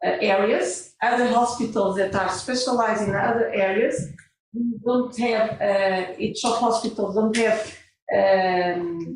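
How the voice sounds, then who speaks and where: Delivered at a fairly slow pace with ordinary pitch variation, the voice keeps a very even loudness while audible room echo surrounds it. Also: woman, fairly high pitch for a woman. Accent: Portuguese. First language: Portuguese. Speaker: hospital pharmacy director. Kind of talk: conference talk. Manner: halting.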